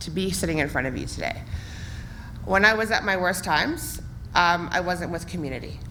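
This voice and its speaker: With audible room echo, a woman in a western Canadian accent speaks at a fairly low pitch with ordinary pitch variation. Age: 30s. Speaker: municipal election candidate. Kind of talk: campaign speech at candidates forum. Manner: loud.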